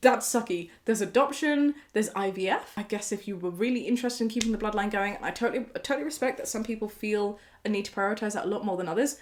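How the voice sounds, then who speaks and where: Very fast, animated speech from a woman with a British accent, fairly high-pitched with ordinary pitch variation, amid noticeable background noise. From Britain. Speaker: YouTuber reacting to online posts. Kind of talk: casual commentary reading posts aloud.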